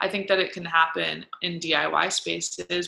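A woman is speaking. She has an American accent. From Philadelphia suburbs, Pennsylvania. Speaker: event producer. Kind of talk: interview.

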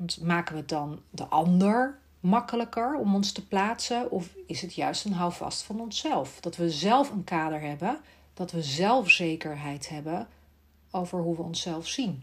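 Somewhat breathy and fairly low in pitch, a woman talks at a fairly slow pace with lively intonation. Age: 40s. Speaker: speech therapist and podcast host. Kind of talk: solo monologue podcast.

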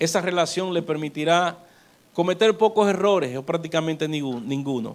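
With a Dominican accent, a man speaks at a fairly high pitch with ordinary pitch variation. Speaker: pastor. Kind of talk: sermon.

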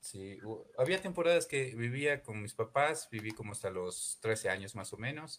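Lively intonation in a medium-pitched male voice. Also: moderate pace, big swings in loudness. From Ecuador, Imbabura (Ibarra). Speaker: chef. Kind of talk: radio interview. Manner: hesitant, many repetitions.

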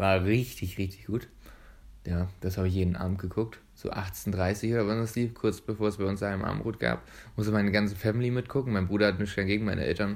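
A man speaks at a very fast pace in a fairly low pitch. His intonation stays fairly even. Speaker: podcast host and dental student. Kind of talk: casual chat.

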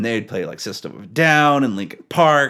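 A man with an unremarkable speaking voice and ordinary pitch variation talks at a moderate pace in a very clean recording with a silent background. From British Columbia, Powell River. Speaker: worship musician. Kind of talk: casual interview chat.

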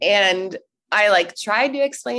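An unremarkable speaking voice at a moderate pace. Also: woman. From US South, North Carolina. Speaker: social media director, podcast guest. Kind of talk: personal story interview.

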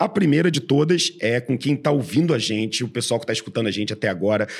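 Pitch swings are very wide as a man of medium pitch speaks on a very clean recording with a silent background. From Brazil, Rio de Janeiro. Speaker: podcast host, venture investor. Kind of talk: casual interview.

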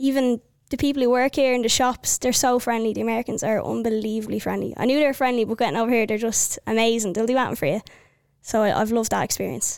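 Speaking very fast in an Irish accent, a woman keeps a fairly high pitch, very even loudness and fairly even intonation. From Ireland, County Wicklow. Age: 20s. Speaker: army officer and soccer player. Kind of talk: casual interview.

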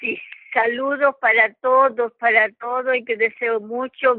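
A woman speaks at a high pitch with monotone, flat intonation. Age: old. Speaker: elderly church member. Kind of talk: casual chat. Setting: phone call.

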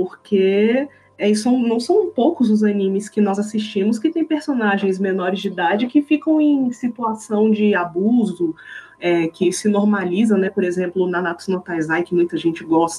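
Woman with lively intonation and very even loudness, over noticeable background noise. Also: medium pitch for a woman, moderate pace. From Brazil, Brasília. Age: 20s. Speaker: cosplayer and language teacher. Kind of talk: casual chat.

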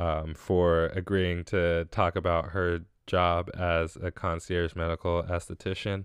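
A man's very deep, low voice, flat and monotone, at a very slow pace over a quiet background. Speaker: podcast host. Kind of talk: casual solo monologue giving thanks.

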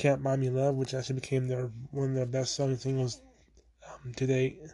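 The man's voice has some breathiness to it. It sits at a medium pitch. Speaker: podcast host. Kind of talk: solo history podcast narration. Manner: halting, many fillers.

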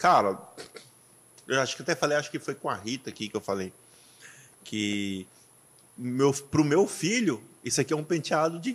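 Animated and fairly high-pitched, a man speaks at a moderate pace with very wide pitch swings and long, frequent pauses. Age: 30s. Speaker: podcast host and pastor. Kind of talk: casual chat.

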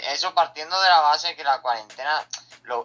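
An unremarkable speaking voice, this man's moves along at a fairly quick pace with ordinary pitch variation. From Seville, Andalusia, Spain. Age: 20s. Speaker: streamer. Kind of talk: casual interview.

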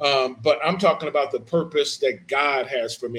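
Delivered at a moderate pace, an ordinary speaking voice carries fairly even intonation. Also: man. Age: 40s. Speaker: pastor. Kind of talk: sermon.

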